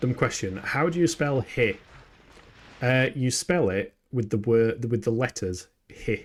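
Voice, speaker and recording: A man with a Yorkshire accent and a medium pitch talks with ordinary pitch variation in a very clean recording with a silent background. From Yorkshire, northern England. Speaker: video game streamer. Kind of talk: live gameplay stream chat. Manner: animated.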